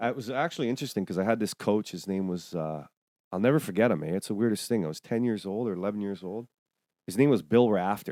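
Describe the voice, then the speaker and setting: A man with a Toronto accent talks at a very fast pace, with a fairly low pitch, a dark, mellow tone and ordinary pitch variation, on a very clean recording with a silent background. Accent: Canadian (Toronto). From England, then Toronto area from age 8. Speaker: podcast host. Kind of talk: casual chat.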